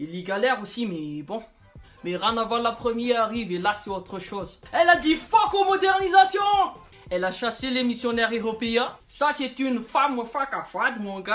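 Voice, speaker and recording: Background music accompanies speech delivered at a moderate pace. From Madagascar. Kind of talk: humorous history commentary to camera. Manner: casual, joking, slangy.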